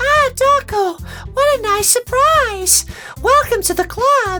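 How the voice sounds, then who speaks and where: A put-on character voice at an extremely high pitch and fairly slow pace, with clear music in the background. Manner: sweet.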